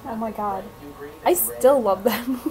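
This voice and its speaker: With noticeable background noise, a woman talks at a fairly slow pace in a relaxed tone, her fairly high pitch showing ordinary variation. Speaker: vlogger and pet sitter. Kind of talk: casual vlog. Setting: at a home with pets, self-filmed. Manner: relaxed, chatty.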